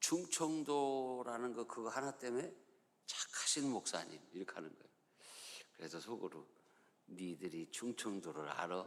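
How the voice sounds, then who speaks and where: A man of medium pitch speaks at a moderate pace with very wide pitch swings, big swings in loudness, and long, frequent pauses. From Chungcheong, Korea. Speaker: pastor. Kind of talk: sermon.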